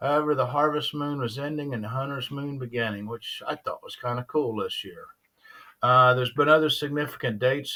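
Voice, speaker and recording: Fairly quick and fairly high-pitched, this man's bright, sharp voice keeps a fairly even intonation while its loudness swings widely. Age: 60s. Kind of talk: casual personal reflection talk. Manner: hesitant, many filler sounds.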